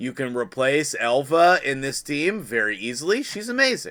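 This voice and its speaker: At a moderate pace, a man with a fairly high pitch and a bright, sharp tone speaks in a very clean recording against a silent background. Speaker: gaming youtuber. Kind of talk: gaming tutorial. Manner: stumbling over words; casual, chatty.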